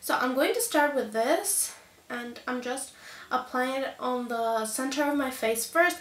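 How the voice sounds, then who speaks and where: A woman with a high pitch and ordinary pitch variation talks amid audible room echo. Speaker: beauty youtuber. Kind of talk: makeup tutorial. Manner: animated.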